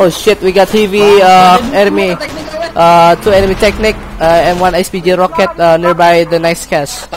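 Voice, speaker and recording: Over noticeable background noise, a high-pitched man speaks at a fairly slow pace with very even loudness and fairly even intonation. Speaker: squad leader in online military game. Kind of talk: casual gameplay commentary with team callouts. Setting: voice chat while gaming.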